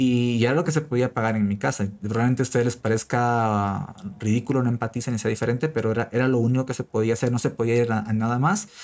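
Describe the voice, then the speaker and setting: A man's very fast speech with fairly even intonation, on a very clean recording with a silent background. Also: medium pitch for a man. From Peru. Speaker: frontend developer and online educator. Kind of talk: interview. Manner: halting, many repeated words.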